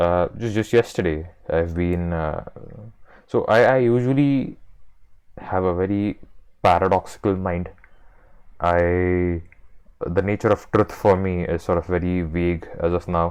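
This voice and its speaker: A man with an Indian accent speaks at a fairly slow pace, his voice very deep and low. He leaves long, frequent pauses against a quiet background. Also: ordinary pitch variation. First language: Marathi. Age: 20s. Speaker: video essayist. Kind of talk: casual monologue. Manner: halting, many fillers and repetitions.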